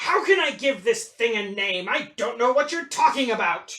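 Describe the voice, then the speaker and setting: A put-on character voice sits at a high pitch and leaps through very wide pitch swings. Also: moderate pace. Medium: read story. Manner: pompous.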